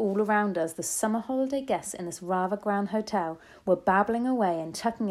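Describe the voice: Someone does plain reading aloud here.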